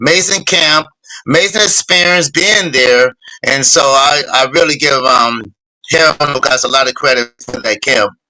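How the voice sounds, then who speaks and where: With an American accent, a man uses an ordinary speaking voice at a moderate pace, his fairly high pitch rising and falling in a lively way. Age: 60s. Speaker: retired boxer, Olympic champion. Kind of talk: interview.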